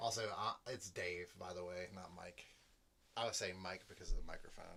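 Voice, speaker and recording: A man's very deep, low voice with a bright, sharp tone. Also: fairly even intonation, moderate pace. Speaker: musician and channel co-host. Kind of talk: casual chat. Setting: live stream at home. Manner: halting.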